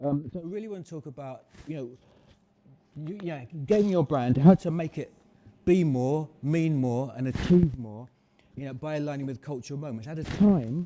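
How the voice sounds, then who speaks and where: The voice has a dark, mellow tone and ordinary pitch variation, with big swings in loudness and long, frequent pauses. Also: man, fairly high pitch for a man. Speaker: marketing strategist. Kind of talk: live talk to audience. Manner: fast.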